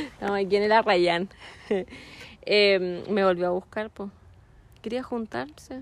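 Using a medium pitch and ordinary pitch variation, a woman speaks fairly slowly with long, frequent pauses. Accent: Chilean. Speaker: podcast co-host. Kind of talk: casual chat. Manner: animated.

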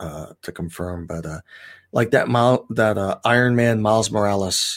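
A man speaks at a moderate pace in a fairly low pitch with ordinary pitch variation and big swings in loudness, on a very clean recording with a silent background. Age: 50s. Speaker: comic shop owner, Coast Guard veteran. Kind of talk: casual chat. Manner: halting.

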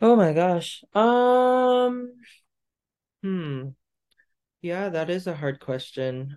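The speech comes at a very slow pace. Long pauses break it up often. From Canada. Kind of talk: interview.

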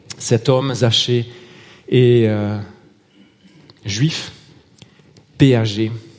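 A man with a Marseille accent speaks at a medium pitch. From Marseille, southern France. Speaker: lay preacher. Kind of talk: sermon. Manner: hesitant, with repeated words and fillers.

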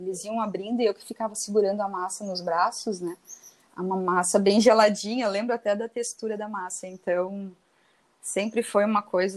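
In a normal speaking voice, the speech moves at a moderate pace with fairly even intonation. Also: woman. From southern Brazil (Santa Catarina, Rio Grande do Sul). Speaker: chef. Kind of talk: interview.

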